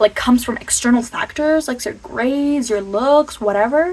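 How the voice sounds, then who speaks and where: An animated voice at a moderate pace, with ordinary pitch variation, comes through noticeable background noise. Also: woman. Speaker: motivational vlogger. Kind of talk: casual motivational talk to camera. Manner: stuttering at times.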